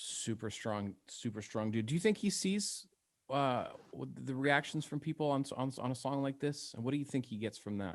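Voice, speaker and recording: A man with an American accent and an unremarkable speaking voice, medium pitch, lively intonation and moderate pace, on a very clean recording with a silent background. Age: 40s. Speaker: radio host. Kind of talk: casual interview.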